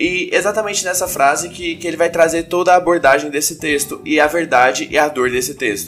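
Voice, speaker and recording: Over music in the background, a man with a high voice talks at a fairly quick pace with hardly any pauses. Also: ordinary pitch variation. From Brazil, Goiânia. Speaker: aspiring comedian and podcast host. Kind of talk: comedy analysis podcast monologue.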